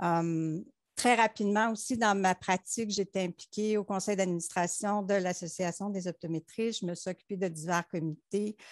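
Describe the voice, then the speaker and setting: The sound is dry with no echo and a quiet background. A woman speaks at a fairly slow pace. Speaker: optometrist; panelist. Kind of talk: panel discussion. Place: home room. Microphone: headset.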